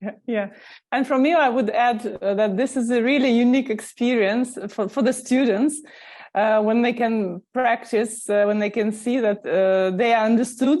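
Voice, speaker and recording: In a quiet background, a woman with a Russian accent speaks at a moderate pace in a fairly high pitch with ordinary pitch variation. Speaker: language school teacher. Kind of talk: interview. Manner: halting.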